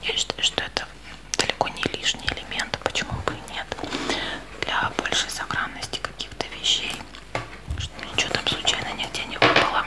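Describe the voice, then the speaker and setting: A woman is whispering, with long, frequent pauses. Noticeable background noise runs underneath. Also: moderate pace. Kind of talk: ASMR whispered show and tell. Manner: whispered.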